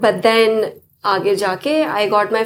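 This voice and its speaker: A woman's fairly high voice, an unremarkable speaking voice. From United States. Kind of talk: interview. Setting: studio.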